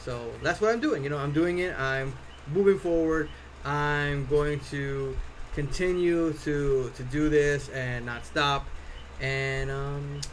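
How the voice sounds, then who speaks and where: Audible room echo surrounds a man talking at a fairly slow pace in an American accent. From US Northeast (Connecticut). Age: 40s. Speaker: cosplay prop maker and streamer. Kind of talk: live stream chat. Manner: casual, many fillers and repeats.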